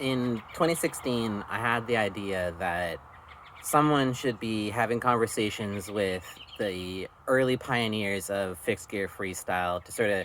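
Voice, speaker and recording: There is noticeable background noise behind this man. He speaks fairly slowly with a fairly low pitch and ordinary pitch variation. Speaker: podcast interviewer. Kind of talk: spoken introduction.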